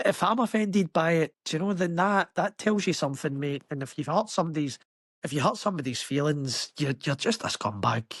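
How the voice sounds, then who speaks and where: With a Glaswegian accent, a man speaks at a fairly high pitch with lively intonation in a dry, close sound with no echo. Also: fairly quick pace. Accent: Glaswegian Scottish. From Scotland, Glasgow. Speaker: construction worker. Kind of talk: podcast interview. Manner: animated.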